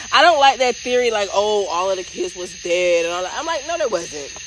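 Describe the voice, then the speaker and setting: Against noticeable background noise, a woman at a medium pitch speaks with very wide pitch swings. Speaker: podcast host. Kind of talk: casual chat.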